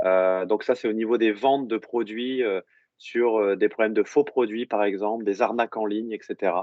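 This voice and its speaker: A man speaks at a moderate pace with a medium pitch. His pitch varies in an ordinary way. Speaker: technical director of an online monitoring company, presenter. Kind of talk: professional presentation. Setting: remote video call into a seminar room. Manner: loud; hesitant, many fillers.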